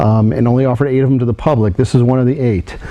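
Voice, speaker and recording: A man talks at medium pitch with ordinary pitch variation. Noticeable background noise is present. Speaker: president of a diecast model company, auction previewer. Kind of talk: auction preview presentation of collectible models.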